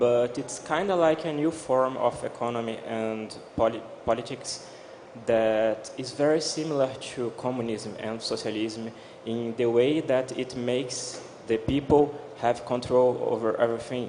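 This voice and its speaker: Over noticeable background noise, a man with a Portuguese accent and a medium pitch speaks at a moderate pace with fairly even intonation. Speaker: blockchain developer. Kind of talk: panel discussion. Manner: halting.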